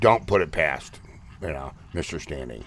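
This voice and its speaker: A voice with vocal fry and ordinary pitch variation. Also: man. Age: 50s. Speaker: livestream host and Bigfoot researcher. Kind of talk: casual live chat.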